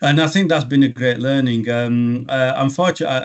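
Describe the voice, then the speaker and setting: The speaker has a strong English accent and fairly even intonation. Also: man. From England. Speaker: logistics regional director. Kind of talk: business interview. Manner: halting, many fillers and restarts.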